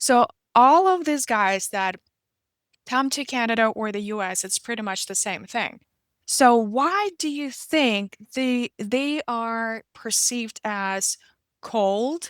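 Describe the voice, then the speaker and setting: A woman with a Russian accent speaks at a very slow pace and a fairly high pitch. The recording is very clean, with a silent background and a dry, close sound with no echo. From Russian-speaking country. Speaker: podcast host. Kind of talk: interview conversation. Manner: halting, with many fillers and restarts.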